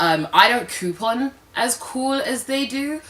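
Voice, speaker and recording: A woman's animated tone with a British accent, very wide pitch swings, and noticeable background noise. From London, England. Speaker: lifestyle vlogger. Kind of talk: casual vlog talk to camera.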